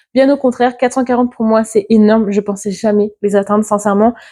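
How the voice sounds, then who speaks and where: Here a woman speaks at a very fast pace. Her pitch is fairly high. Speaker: book content creator. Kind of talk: casual vlog monologue. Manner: hesitant, with fillers.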